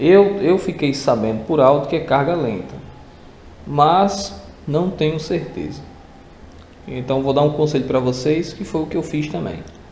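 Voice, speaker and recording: A man at a fairly slow pace with long, frequent pauses, audible room echo, and light background noise. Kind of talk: casual tutorial vlog chat. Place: garage. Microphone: phone near.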